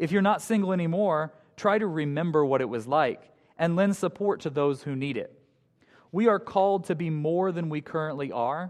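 Against a quiet background, a man with a plain, everyday voice speaks at a fairly high pitch with lively intonation. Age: 20s. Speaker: high school teacher giving a guest sermon. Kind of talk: sermon. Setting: church with congregation. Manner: light humor, conversational.

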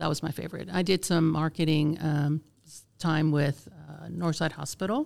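A woman with a very deep, low pitch speaks at a moderate pace in a monotone, flat intonation with vocal fry. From Puerto Rico (Vieques). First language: Spanish. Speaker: magazine publisher. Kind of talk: casual interview.

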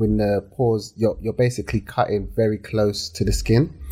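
This man talks with a London accent at a fairly quick pace, his fairly low pitch carrying ordinary variation and a dark, mellow tone. The recording is very clean, with a silent background. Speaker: entrepreneur, hair care brand founder. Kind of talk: casual interview chat. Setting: studio.

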